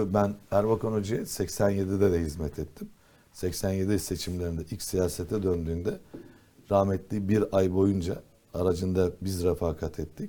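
A man's very deep, low voice with a dark, mellow tone, fairly even intonation, and a fairly slow pace. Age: 60s. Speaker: politician. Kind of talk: talk show interview. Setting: TV studio.

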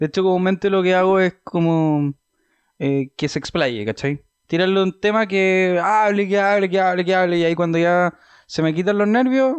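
A high-pitched man with a Chilean accent speaks at a moderate pace with ordinary pitch variation and very even loudness, the sound dry and close with no echo against a quiet background. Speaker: podcast host. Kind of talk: casual chat.

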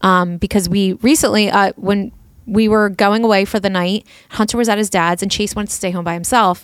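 On a very clean recording with a silent background, a woman speaks in a plain, everyday voice. Her pitch is medium, her intonation fairly even and her pace fairly quick. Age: 40s. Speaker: podcast co-host and parent. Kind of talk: casual chat.

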